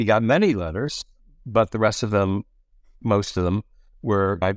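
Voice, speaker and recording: Fairly even intonation at a fairly quick pace, in a very clean recording with a silent background. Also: man. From US Midwest, Detroit. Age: 70s. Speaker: magazine editor and author. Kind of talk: casual interview conversation.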